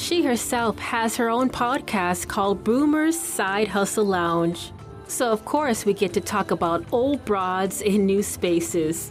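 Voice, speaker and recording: Music plays in the background as a woman speaks fairly slowly at a medium pitch, with lively intonation and hardly any pauses. Her loudness stays very even. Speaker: podcaster and voice over artist. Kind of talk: podcast host talk.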